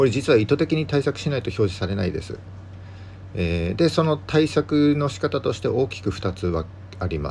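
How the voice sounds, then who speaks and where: A somewhat breathy man with lively intonation at a moderate pace, on a very clean recording with a silent background. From Japan, Yamagata countryside. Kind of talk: solo podcast talk, informational. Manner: frequent filler words.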